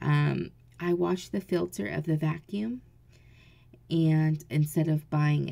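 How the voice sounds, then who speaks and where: This woman has a very deep, low pitch and a dark, mellow tone, with an American accent and ordinary pitch variation. She speaks quietly and at a very slow pace. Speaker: mom vlogger. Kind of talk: casual vlog. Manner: speaking low, quiet; hesitant, many fillers.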